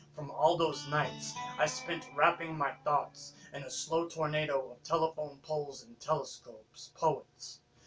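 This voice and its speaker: Music plays behind a man speaking at a fairly slow pace and a fairly high pitch. His intonation is lively and his loudness swings widely. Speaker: spoken word poet. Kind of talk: spoken word poetry performance.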